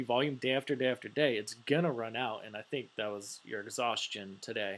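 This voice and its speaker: Recorded very cleanly with a silent background, a man speaks with ordinary pitch variation. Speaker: stock market commentator. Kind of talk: screen-share market analysis video. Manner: fast; casual, filler-heavy.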